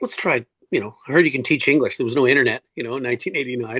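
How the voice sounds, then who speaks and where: Dry and close with no echo, a man's voice comes at a medium pitch. He talks at a fairly quick pace with a Canadian accent. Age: 60s. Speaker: cancer survivor and swimmer. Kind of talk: interview. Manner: halting.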